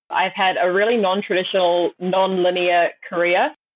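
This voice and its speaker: Speaking at a moderate pace, a woman with an Australian-free medium pitch uses a New Zealand accent. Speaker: startup founder. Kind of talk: interview.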